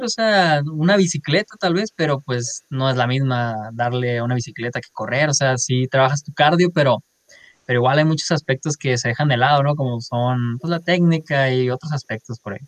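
A man at a moderate pace. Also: dry, close sound with no echo. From Mexico, Culiacán, Sinaloa. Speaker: athlete (hurdler/sprinter). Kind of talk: interview. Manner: halting, many fillers.

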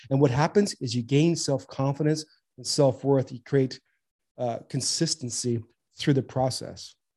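Against a quiet background, a man with an American accent speaks in a somewhat breathy, dark, mellow voice at a medium pitch, with ordinary pitch variation, big swings in loudness, and a dry, close sound with no echo. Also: moderate pace. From Southern California. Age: 40s. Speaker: former pro baseball player turned entrepreneur. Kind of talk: interview. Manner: animated.

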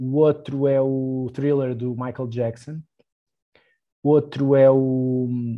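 Very slow and broken by long, frequent pauses, a man's monotone, flat delivery comes in a European Portuguese accent. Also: medium pitch for a man. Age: 40s. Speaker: political analyst. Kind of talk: casual chat. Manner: halting.

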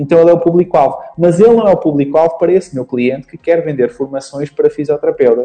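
With music in the background, a man with a European Portuguese accent speaks at a very fast pace in a high pitch, with ordinary pitch variation, big swings in loudness, and hardly any pauses. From Portugal. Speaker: Facebook marketing instructor. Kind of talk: interview.

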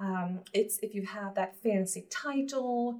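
Speaking at a fairly slow pace, a woman of medium pitch keeps her intonation fairly even. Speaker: head of people at a hiring tech company. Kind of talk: interview conversation. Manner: talkative.

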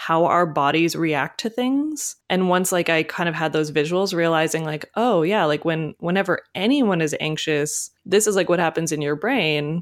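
A normal speaking voice with a Canadian accent moves at a moderate pace. The recording is very clean, with a silent background. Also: woman. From Canada. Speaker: author and blogger. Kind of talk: interview.

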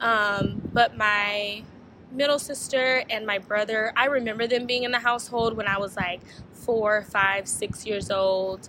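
Fairly slow and fairly high-pitched, a woman speaks with a plain, everyday voice and fairly even intonation. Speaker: podcast host, guest. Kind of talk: casual chat, interview. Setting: cafe, boba shop.

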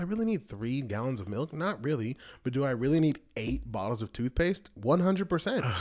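Over a very clean recording with a silent background, a man talks at a very fast pace with hardly any pauses, his animated, fairly high voice making very wide pitch swings. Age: 20s. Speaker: podcast co-host. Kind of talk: casual chat.

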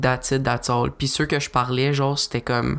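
A man with a Quebec accent at medium pitch, in a flat monotone, on a very clean recording with a silent background. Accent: Québécois French. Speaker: podcaster. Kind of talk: casual solo monologue. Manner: casual, laughing at own jokes.

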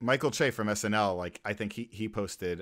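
Speaking with an American accent, a man uses a fairly low pitch, a bright, sharp tone and fairly even intonation. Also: very clean recording, silent background. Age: 40s. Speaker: DJ. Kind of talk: casual chat.

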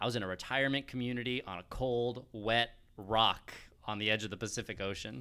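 In a very clean recording with a silent background, a man with an American accent talks at a fairly quick pace, his medium-pitched voice bright and sharp, with fairly even intonation. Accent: West Coast American, noticeable to Texans. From US West Coast, Los Angeles. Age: 30s. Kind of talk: casual interview on grief and faith. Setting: recorded at his church.

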